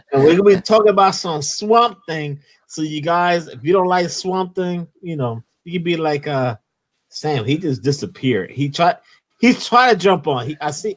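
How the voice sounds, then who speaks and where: A man with a Philadelphia accent talks in a high pitch with lively intonation and big swings in loudness, in a very clean recording with a silent background. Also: moderate pace. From Philadelphia, US. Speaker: comics YouTube host. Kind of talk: casual livestream chat. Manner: animated.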